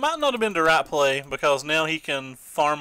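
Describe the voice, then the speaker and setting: A man with an Eastern Kentucky accent and a bright, sharp tone, at a fairly quick pace with ordinary pitch variation. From Eastern Kentucky, US. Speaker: game streamer. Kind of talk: live gameplay commentary. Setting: live stream. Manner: casual, thinking aloud with fillers.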